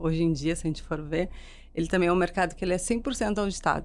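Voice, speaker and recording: A woman's fairly low voice with a slight southern Brazilian accent. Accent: gaúcho accent, slight. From Rio Grande do Sul, southern Brazil. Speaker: marketing executive. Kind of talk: interview podcast.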